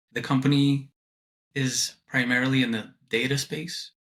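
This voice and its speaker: Here a man speaks with a slight New York accent. His tone is bright and sharp, and the recording is very clean with a silent background. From Brooklyn, New York (moved from abroad at ten). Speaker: student and compliance project manager. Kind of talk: interview. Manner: hesitant, many fillers.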